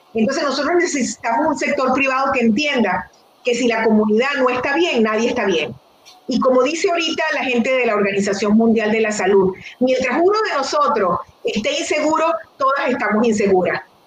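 With lively intonation and a high pitch, a woman talks at a fairly quick pace against noticeable background noise. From Venezuela. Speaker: nonprofit executive director, physician. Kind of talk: interview conversation.

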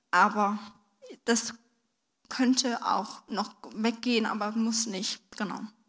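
A woman talks very slowly in a fairly high pitch, leaving long, frequent pauses. Her intonation is monotone and flat. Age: 20s. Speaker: stroke survivor, trainee physiotherapist. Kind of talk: testimony. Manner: halting, with many fillers.

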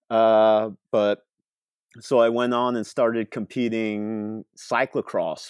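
A man with a Pacific Northwest accent speaks at a very slow pace and fairly low pitch in a monotone, flat intonation, with a dry, close sound with no echo and a quiet background. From rural coastal Oregon, US. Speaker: pro off-road triathlete. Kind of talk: casual interview.

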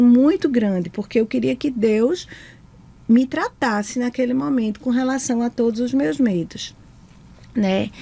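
A woman with an ordinary speaking voice talks at a fairly slow pace with fairly high pitch. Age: 40s. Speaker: psychologist and school director. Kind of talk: testimony. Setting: studio.

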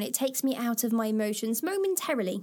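With an East Midlands accent, a woman speaks at a high pitch and a moderate pace. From England, Lincoln. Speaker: podcast host. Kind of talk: reading aloud with personal commentary.

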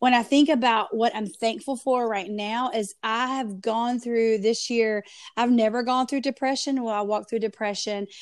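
A woman's fairly high, animated voice with a strong Southern US accent, moderate in pace with hardly any pauses, against a quiet background. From US South, North Carolina. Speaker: pastor and podcaster. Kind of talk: casual interview.

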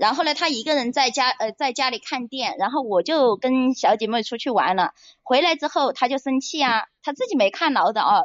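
A woman's high-pitched voice, fairly quick and with lively intonation. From Hunan, China. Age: 30s. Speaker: caller. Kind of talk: personal story on call-in show.

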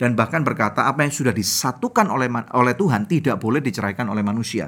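Talking at a very fast pace, a man has a bright, sharp tone and lively intonation. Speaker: podcast host, marriage ministry. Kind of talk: sermon; casual chat.

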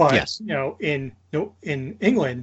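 This is a man speaking. He has a New Jersey accent. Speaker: podcast co-host. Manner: casual, conversational.

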